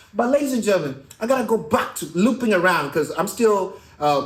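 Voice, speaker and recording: A man speaks with an East African accent. His intonation is lively. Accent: East African accent, noted dialect. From Kenya. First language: not English. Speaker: podcast host and stand-up comedian. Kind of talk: casual interview. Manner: animated.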